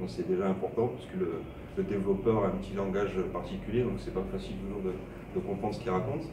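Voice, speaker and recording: Very fast and with lively intonation, a man talks in a fairly low pitch. Noticeable background noise and audible room echo are present. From southern France, Montpellier. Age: 30s. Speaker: web designer. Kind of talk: interview. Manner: hesitant, many fillers.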